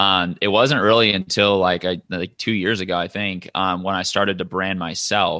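A bright, sharp tone in a Midwestern accent, fairly even intonation, moderate pace and hardly any pauses against a quiet background. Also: man, very deep, low pitch for a man. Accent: General American (Midwest). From US Midwest, Michigan. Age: 20s. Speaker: digital marketing entrepreneur. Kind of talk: podcast interview. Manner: casual, filler-heavy.

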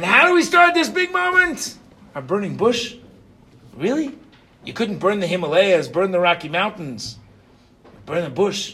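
A man speaks in a raised, projected voice with a high pitch and an animated tone. His intonation is lively, and his pace is moderate. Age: 50s. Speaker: yeshiva rabbi teaching Torah portion. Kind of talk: Torah class.

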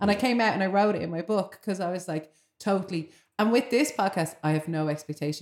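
A woman's medium-pitched voice with a Dublin accent at a very fast pace, with ordinary pitch variation. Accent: Irish (Dublin). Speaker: podcast host. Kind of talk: casual chat.

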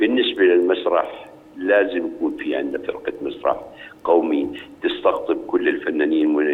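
Noticeable background noise and audible room echo are present. A man talks at a moderate pace. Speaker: actor, artists' union board member. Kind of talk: interview. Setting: phone call.

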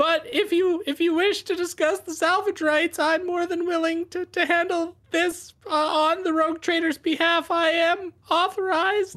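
An extremely high-pitched put-on character voice, fairly slow and monotone, with flat intonation. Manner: polite, officious, call-center calm.

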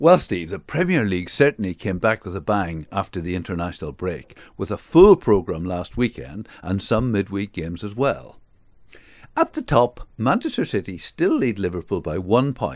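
In a quiet background, a man with a British accent speaks at a moderate pace. His fairly low voice carries lively intonation. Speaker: football pundit. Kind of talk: scripted commentary.

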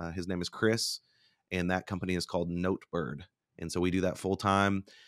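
A very deep, low-pitched man with an American accent at a fairly quick pace, in a very clean recording with a silent background and a dry, close sound with no echo. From Oklahoma (Bartlesville). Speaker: company founder and public speaker. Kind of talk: interview conversation.

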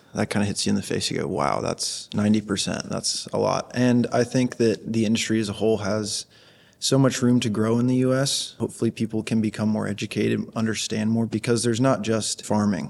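With noticeable background noise behind him, a man talks at a fairly quick pace and medium pitch, hardly pausing, with fairly even intonation. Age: 20s. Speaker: aquaculture graduate student. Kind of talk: casual interview. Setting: trade show.

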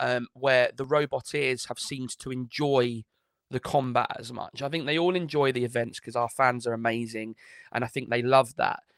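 A man's medium-pitched, unremarkable speaking voice at a moderate pace, dry and close with no echo. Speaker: announcer and co-host of robot fighting show.

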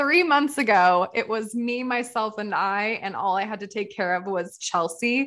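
Speaking with an American accent against a quiet background, a woman uses a fairly high pitch and hardly any pauses. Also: lively intonation, moderate pace. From US Pacific Northwest (Portland, Oregon). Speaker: wine photographer and entrepreneur. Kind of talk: interview conversation.

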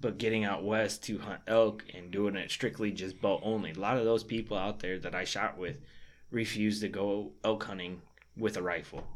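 A man with an American accent has a normal speaking voice. It sits fairly low, with fairly even intonation at a moderate pace. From Michigan. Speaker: bowhunter. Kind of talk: casual chat. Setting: studio.

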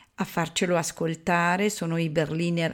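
A woman talks at a very slow pace in a fairly low pitch. The recording is very clean with a silent background. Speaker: radio announcer. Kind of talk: radio station announcer reading a program introduction. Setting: radio broadcast. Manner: formal, measured, even and polished.

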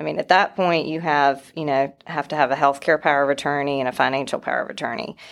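A woman with a slight North Carolina accent and a very deep, low pitch talks at a very fast pace with hardly any pauses, vocal fry and fairly even intonation. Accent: slight North Carolina Southern. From North Carolina (Wilson). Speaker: estate planning lawyer. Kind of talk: professional interview.

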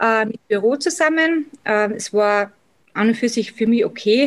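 A woman with an Austrian accent speaks at a fairly slow pace, her fairly high voice carrying lively intonation. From Austria, Salzburg. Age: 30s. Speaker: cosmetics sales rep and office worker. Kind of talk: interview.

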